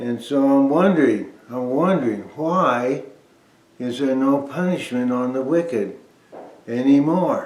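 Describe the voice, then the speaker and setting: A man at a fairly high pitch with ordinary pitch variation and a fairly slow pace, with audible room echo and noticeable background noise. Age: 80s+. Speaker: bible teacher. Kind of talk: informal bible talk. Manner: conversational, with hesitations.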